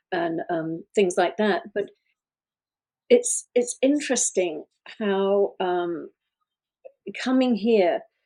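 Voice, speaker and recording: A woman speaks very slowly with a British accent, her tone dark and mellow. Her pitch swings very widely. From UK. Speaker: relationship coach and podcast co-host. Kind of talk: casual podcast conversation.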